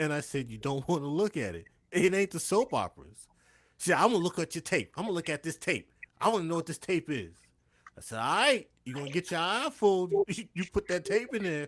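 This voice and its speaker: A man speaks at a high pitch with lively intonation. The recording is very clean, with a silent background. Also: fairly quick pace. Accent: New York. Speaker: stream guest. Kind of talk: casual chat. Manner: forceful.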